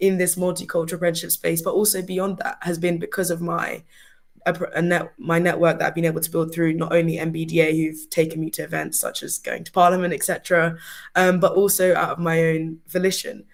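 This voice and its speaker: Talking at a fairly quick pace, a woman with a southern English accent uses a fairly low pitch and a monotone, flat intonation. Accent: sounds very British, southern English. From UK, Surrey (immigrant family). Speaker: award-winning apprentice. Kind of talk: webinar presentation.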